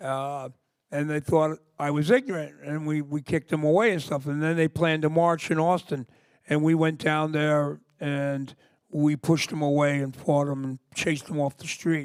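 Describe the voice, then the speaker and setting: With an American accent and a plain, everyday voice, a man speaks at a moderate pace in a fairly high pitch with fairly even intonation. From US Northeast (New York area). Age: 60s. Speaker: punk singer. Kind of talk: interview. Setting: library stage with audience.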